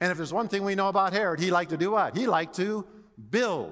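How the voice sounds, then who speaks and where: Bright and sharp in tone, a man raises and projects his voice in an animated way. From Hawaii. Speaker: seminary professor and preacher. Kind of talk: sermon.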